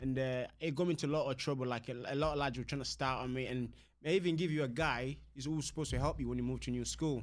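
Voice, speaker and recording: Very fast speech from a man, medium in pitch, his intonation fairly even. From Congo, moved to Doncaster, England at twelve. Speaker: mixed martial arts fighter. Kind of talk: casual interview chat. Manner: halting, repeats words.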